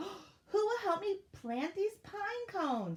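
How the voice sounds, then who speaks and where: A squeaky, put-on character voice from a woman, extremely high in pitch and very slow in pace. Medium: read story. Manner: bright, chirpy.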